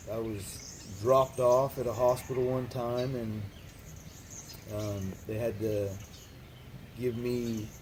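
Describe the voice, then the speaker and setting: A man's medium-pitched voice with an American accent and fairly even intonation, very slow with long, frequent pauses, over noticeable background noise. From California. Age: 30s. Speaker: recovering addict. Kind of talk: interview. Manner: hesitant, many fillers.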